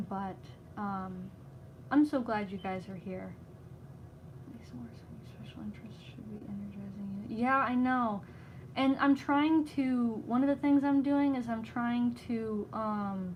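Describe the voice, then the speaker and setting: Her somewhat breathy voice sits fairly high for a woman, moving at a fairly slow pace with lively intonation. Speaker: livestreamer and crocheter. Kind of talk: casual chat. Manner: halting.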